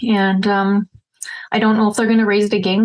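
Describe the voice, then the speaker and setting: A woman with a medium-pitched voice and a Canadian accent. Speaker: realtor. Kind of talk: market update vlog. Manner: fast; casual, filler-heavy.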